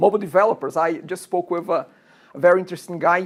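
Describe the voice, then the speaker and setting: A woman speaks with a Brazilian Portuguese accent at a medium pitch. Her intonation stays fairly even. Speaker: college instructor. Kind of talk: lecture. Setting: classroom. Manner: talkative.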